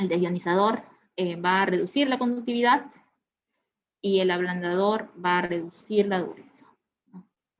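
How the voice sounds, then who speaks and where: With ordinary pitch variation, a woman speaks at medium pitch and a fairly slow pace. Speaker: product specialist presenting a webinar. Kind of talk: technical webinar presentation. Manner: many fillers and hesitations.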